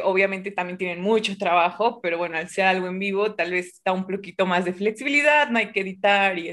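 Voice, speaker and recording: Fairly quick speech from a woman, quiet background behind her. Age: 20s. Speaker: physics grad student and science streamer; science streamer. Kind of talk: casual chat. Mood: cheerful, smiling. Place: home room. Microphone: webcam.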